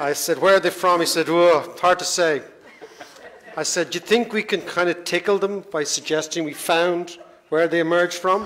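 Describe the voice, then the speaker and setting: With an Irish accent, a man speaks at a moderate pace in a high pitch against noticeable background noise. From Ireland, Dublin. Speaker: economist, panel moderator. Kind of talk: panel moderation speech. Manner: animated.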